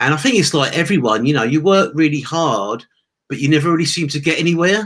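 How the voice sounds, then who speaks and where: In an English accent, a man speaks at a very fast pace. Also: fairly high pitch for a man, lively intonation. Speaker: former taxi driver, online entrepreneur. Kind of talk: interview testimony.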